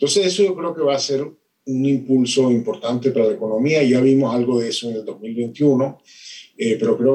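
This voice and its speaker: A man's medium-pitched voice with a dark, mellow tone, lively intonation and a fairly quick pace. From Venezuela. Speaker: economics professor. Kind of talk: interview. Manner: hesitant, many fillers.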